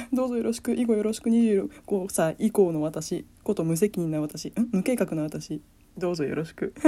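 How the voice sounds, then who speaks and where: Lively intonation and a dark, mellow tone from a woman at a moderate pace. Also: medium pitch for a woman. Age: 20s. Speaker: podcast host. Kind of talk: casual solo talk. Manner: soft-spoken.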